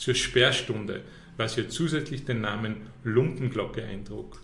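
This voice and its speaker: A man with an Austrian accent, fairly slow pace and ordinary pitch variation, in audible room echo. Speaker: tourism representative. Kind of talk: quiz game reading statements.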